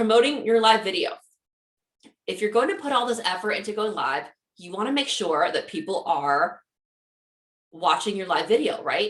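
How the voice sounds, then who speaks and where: A woman's fairly high voice with very wide pitch swings, big swings in loudness, and long, frequent pauses. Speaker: social media marketing trainer. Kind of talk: webinar presentation. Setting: live webinar with chat. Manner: fast.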